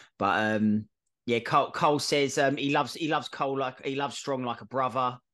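A man at medium pitch speaks at a fairly quick pace in an ordinary speaking voice. The background is quiet. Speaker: wrestling podcast host. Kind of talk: casual chat, show review.

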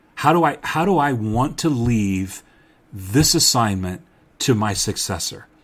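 This man speaks at a fairly slow pace with a medium pitch. His intonation is lively. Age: 50s. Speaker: pastor and podcast host. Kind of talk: podcast monologue on church leadership.

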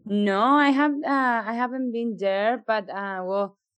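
A woman's plain, everyday voice, with ordinary pitch variation at a fairly slow pace against a quiet background. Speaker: podcast co-host. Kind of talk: casual interview.

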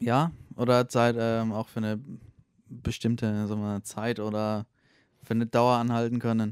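The delivery is monotone and flat at a moderate pace, broken by long, frequent pauses, in a dry, close sound with no echo. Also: man, medium pitch for a man. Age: 20s. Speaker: podcast guest. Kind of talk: casual chat.

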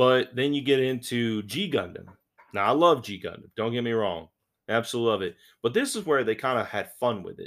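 With an animated tone and lively intonation, a man speaks at a moderate pace in a very clean recording with a silent background. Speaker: podcast host. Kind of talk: casual chat.

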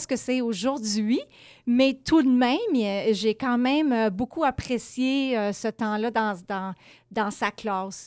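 Speaking very slowly in a high pitch, a woman uses ordinary pitch variation, captured dry and close with no echo on a very clean recording against a silent background. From Quebec, small village. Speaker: education lecturer. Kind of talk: interview.

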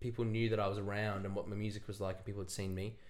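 A man with an Australian accent talks very fast in a flat monotone. Room echo is audible. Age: 20s. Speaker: singer-songwriter. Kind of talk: casual chat.

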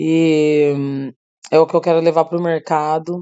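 Her pitch is very deep and low, with a dark, mellow tone. The woman's recording sounds dry and close, without any echo. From Brazil. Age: 30s. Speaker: singer and songwriter. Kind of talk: interview.

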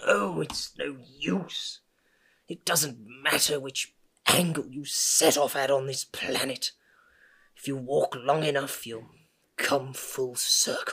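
Putting on a character voice, a man speaks with a raspy, fairly high pitch and long, frequent pauses. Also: fairly slow pace. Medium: audio drama. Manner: grumbling, rambling.

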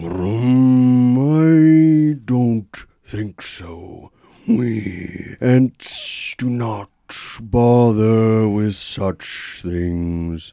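This is a put-on character voice. It moves at a very slow pace with long, frequent pauses. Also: man, fairly low pitch for a man. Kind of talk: formal. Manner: dismissive.

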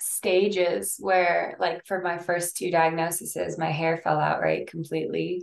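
A woman's fairly low, fry-laden voice at a fairly slow pace. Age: 20s. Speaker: cancer survivor and author. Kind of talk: interview.

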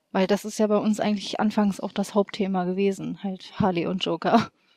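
In a normal speaking voice, a woman talks at a moderate pace and medium pitch. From Hanover region, northern Germany. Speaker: cosplayer. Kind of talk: casual chat.

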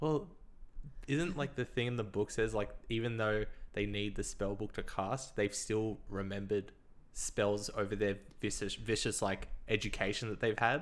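This man has a plain, everyday voice, pitched fairly low, with ordinary pitch variation. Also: moderate pace. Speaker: podcast host. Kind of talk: casual chat. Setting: headphones, recording setup.

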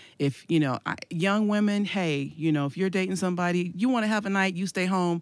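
With lively intonation, a woman speaks in a plain, everyday voice at a fairly low pitch on a very clean recording with a silent background. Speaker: evangelist and church leader. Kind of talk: casual chat.

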